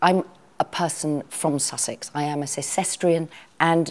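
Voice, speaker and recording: A woman speaks with a dark, mellow tone. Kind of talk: interview answer. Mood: warm, reflective. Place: home room. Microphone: lapel.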